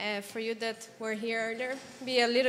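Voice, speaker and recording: A woman with a Portuguese accent speaks at a high pitch and a moderate pace. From Brazil. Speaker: psychology practitioner and crisis support worker. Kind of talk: presentation.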